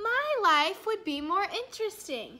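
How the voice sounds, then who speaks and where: A woman does a put-on character voice at an extremely high pitch. Her pitch swings very widely at a fairly slow pace. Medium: read story. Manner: grumbling.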